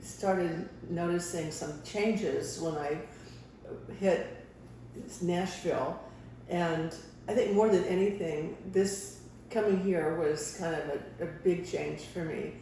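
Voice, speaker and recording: Speaking very slowly with long, frequent pauses, a woman with an American accent uses a fairly low pitch and ordinary pitch variation amid noticeable background noise and audible room echo. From California. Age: 80s+. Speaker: wellness guest. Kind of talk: casual interview. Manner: halting.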